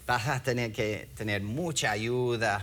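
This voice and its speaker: A man's bright, sharp tone carries audible room echo. He speaks at a very slow pace. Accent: non-native. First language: English (speaking Spanish). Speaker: pastor, former missionary. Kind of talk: sermon. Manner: halting, many fillers.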